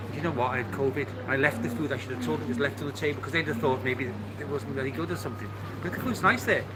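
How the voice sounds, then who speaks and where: A man of medium pitch talks at a very fast pace with lively intonation, amid noticeable background noise and audible room echo. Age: 70s. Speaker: live streamer. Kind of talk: casual chat.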